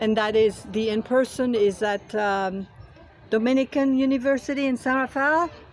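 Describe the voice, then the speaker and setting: Speaking with a French accent, a woman uses a high pitch. Her pitch varies in an ordinary way. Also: moderate pace. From France. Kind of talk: rally speech. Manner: halting, many fillers.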